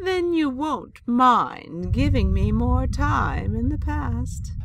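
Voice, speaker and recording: A put-on character voice at a very slow pace, with clear background noise. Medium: audio drama. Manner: wry, sharp-witted.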